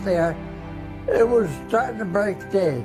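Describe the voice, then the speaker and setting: A man's high-pitched, lively voice at a very slow pace, with music in the background. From Massachusetts. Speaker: war veteran. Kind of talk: interview answer. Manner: emotional.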